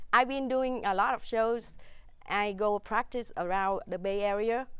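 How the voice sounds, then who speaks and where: A woman with a Vietnamese accent speaks at a fairly slow pace. Her voice is fairly high, with fairly even intonation. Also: very clean recording, silent background. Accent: Vietnamese accent, some letters mispronounced. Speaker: stand-up comedian. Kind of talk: talk show interview. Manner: halting.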